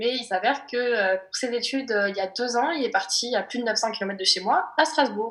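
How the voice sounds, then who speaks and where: A woman with a fairly high pitch talks at a fairly quick pace in a plain, everyday voice, with ordinary pitch variation and hardly any pauses. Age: 20s. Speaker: optician, casting applicant. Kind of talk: casting video self-presentation.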